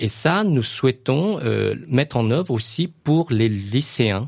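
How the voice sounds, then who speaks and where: Lively intonation marks the speech. There is a somewhat breathy quality to the voice. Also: man. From Laos, raised in France from age 8. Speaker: business school director. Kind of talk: interview. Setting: studio. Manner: halting, many hesitations.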